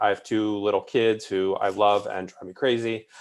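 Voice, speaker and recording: With an American accent, a man speaks at a medium pitch and moderate pace in a plain, everyday voice. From Northern Virginia, Alexandria. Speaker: housing policy advocate. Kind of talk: panel discussion.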